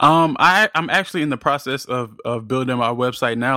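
In an American accent, a man talks at a fairly quick pace and medium pitch with an ordinary speaking voice on a very clean recording with a silent background. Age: 20s. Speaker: podcast editor and producer. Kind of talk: interview.

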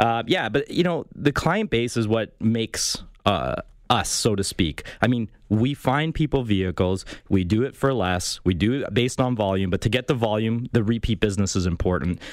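With a plain, everyday voice, a man talks at a moderate pace and medium pitch, using lively intonation. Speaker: used car broker. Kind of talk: radio call-in advice, sales pitch. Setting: radio studio. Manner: chatty, salesman-like.

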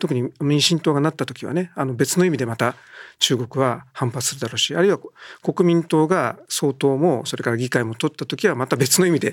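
An ordinary speaking voice at a fairly quick pace with ordinary pitch variation, on a very clean recording with a silent background. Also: man, fairly high pitch for a man. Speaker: newspaper political journalist. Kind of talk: political discussion.

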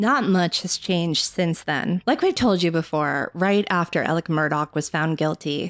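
The sound is dry and close, with no echo, and the recording is very clean over a silent background. It's a plain, everyday voice at a moderate pace. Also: woman. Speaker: journalist and co-host. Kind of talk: scripted narration.

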